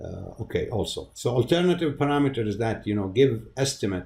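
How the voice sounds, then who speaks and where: A man's dark, mellow, somewhat breathy voice moves at a moderate pace. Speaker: university lecturer. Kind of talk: lecture. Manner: halting, many fillers and repeats.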